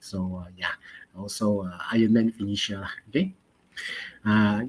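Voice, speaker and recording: A fairly slow delivery in a Malaysian accent. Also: man. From Malaysia, Pontian, Johor. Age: 40s. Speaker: chemistry teacher. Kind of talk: online lesson. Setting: live online stream. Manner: halting, many fillers.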